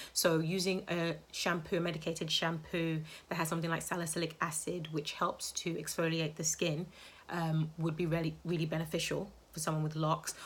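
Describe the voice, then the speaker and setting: With a fairly low pitch and flat, monotone intonation, a woman talks at a fairly quick pace in a somewhat breathy voice. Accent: British. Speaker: healthy hair advocate and author. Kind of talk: live social media Q&A talk. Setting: live Instagram stream.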